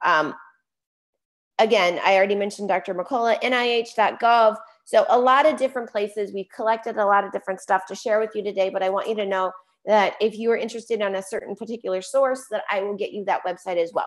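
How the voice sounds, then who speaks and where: A woman with an American accent speaks at a very fast pace. Her pitch is fairly high, with ordinary variation. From Chicago. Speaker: health coach. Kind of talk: webinar presentation.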